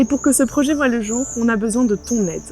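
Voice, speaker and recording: The talking goes at a fairly quick pace while music plays in the background. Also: woman. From France, Bordeaux. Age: 20s. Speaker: dog café founder. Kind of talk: crowdfunding pitch.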